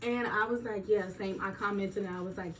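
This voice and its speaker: Noticeable background noise and audible room echo around a medium-pitched female voice. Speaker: nurse vlogger. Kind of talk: casual vlog monologue. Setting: filming at home on an iPad during skincare routine. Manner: slow; chatty, casual.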